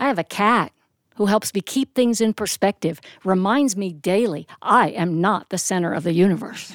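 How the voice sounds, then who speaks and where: A woman with an ordinary speaking voice and an American accent, medium pitch, ordinary pitch variation and moderate pace, in a dry, close sound with no echo. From US Northeast (Reading, Pennsylvania). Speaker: storyteller and actress. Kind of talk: personal storytelling performance. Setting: live studio recording.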